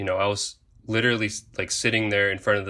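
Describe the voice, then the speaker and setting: Over a silent background in a very clean recording, a man with an American accent speaks at a fairly low pitch in a bright, sharp tone. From Japan (US military family). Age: 20s. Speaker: Coast Guard diver. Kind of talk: interview testimony.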